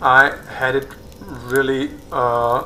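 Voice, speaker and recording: Noticeable background noise accompanies a speaker with a non-native accent. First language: not English. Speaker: gaming YouTuber. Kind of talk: gameplay tutorial. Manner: halting, many fillers.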